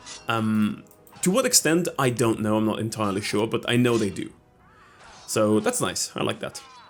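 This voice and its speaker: With ordinary pitch variation, the delivery keeps a moderate pace while music plays in the background. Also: man, medium pitch for a man. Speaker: gaming video creator. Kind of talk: let's play commentary.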